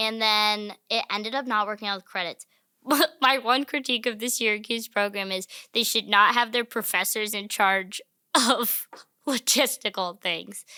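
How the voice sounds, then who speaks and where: Recorded very cleanly against a silent background, the voice has a bright, sharp tone and an American accent in a dry, close sound with no echo. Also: woman, fairly high pitch for a woman, moderate pace. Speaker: comedian. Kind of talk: casual chat. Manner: animated.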